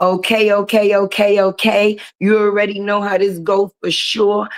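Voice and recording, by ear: A woman's medium-pitched voice with little pitch movement. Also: moderate pace.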